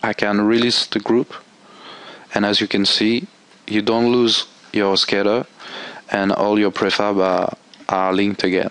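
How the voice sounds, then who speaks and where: There is noticeable background noise behind this man. He talks at a fairly low pitch. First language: not English. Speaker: game tool developer. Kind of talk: software tutorial. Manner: halting.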